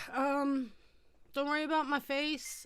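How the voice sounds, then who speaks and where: A bright, sharp tone marks this woman's fairly slow speech. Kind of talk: casual live chat. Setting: live stream. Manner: hesitant, many fillers.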